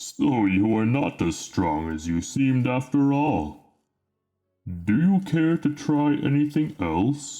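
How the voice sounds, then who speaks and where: At a fairly slow pace and medium pitch, a man performs in a put-on character voice. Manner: mocking.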